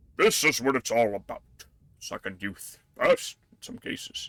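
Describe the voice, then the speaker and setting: In a put-on character voice, a man talks at a moderate pace with big swings in loudness. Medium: game stream. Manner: genial, conspiratorial.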